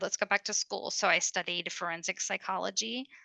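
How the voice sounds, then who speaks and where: A woman with an American accent speaks at medium pitch in a bright, sharp tone, with lively intonation and vocal fry. The sound is dry and close with no echo, against a quiet background. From US South, Kentucky (Louisville). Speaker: mental health advocate. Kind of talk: interview. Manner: talkative.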